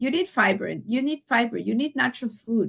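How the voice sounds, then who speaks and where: Lively and animated, a woman speaks with a high pitch. Her pace is moderate. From Mexico. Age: 60s. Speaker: children's health coach. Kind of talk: podcast interview.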